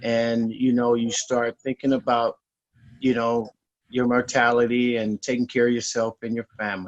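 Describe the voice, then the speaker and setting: A man with an American accent speaks in a flat monotone at a medium pitch. His pace is moderate. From California, San Francisco. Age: 50s. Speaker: insurance customer. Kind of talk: testimony. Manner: halting, many fillers.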